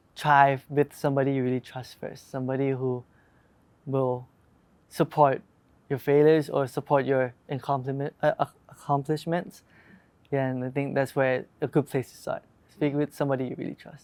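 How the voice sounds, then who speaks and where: With a Thai accent, a man speaks at a moderate pace in a fairly high, monotone, flat voice, with long, frequent pauses and big swings in loudness, in a dry, close sound with no echo. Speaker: pop group member. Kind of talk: interview. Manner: halting.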